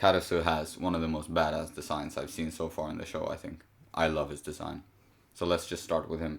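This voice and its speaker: Delivered at a fairly quick pace in a Swedish accent, the speech has a monotone, flat intonation. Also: man, very deep, low pitch for a man. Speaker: podcast host discussing manga chapters.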